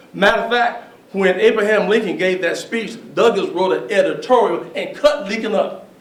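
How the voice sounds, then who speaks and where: A man's voice with lively intonation, audible room echo and noticeable background noise. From Alabama. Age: 60s. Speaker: speaker on history and race. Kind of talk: public talk with Q&A.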